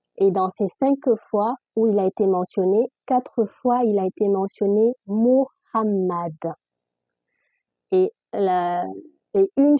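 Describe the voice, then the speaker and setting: Her pace very slow, a woman speaks with ordinary pitch variation. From Guinea (Fula/Peul). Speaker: religious content creator. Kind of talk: casual religious explanation to camera. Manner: hesitant, many filler sounds; difficulty articulating.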